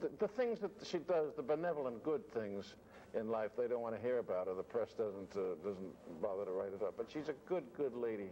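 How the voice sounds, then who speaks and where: Lively intonation marks this man's dark, mellow voice. He speaks at a fairly quick pace over light background noise. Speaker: actor interviewee. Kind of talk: interview answer. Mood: fond, wistful.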